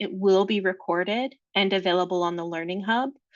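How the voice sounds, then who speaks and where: A woman with an unremarkable speaking voice talks at an even, moderate speed, her medium pitch rising and falling in an ordinary way. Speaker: staff trainer presenting a webinar. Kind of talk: webinar Q&A. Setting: Zoom webinar.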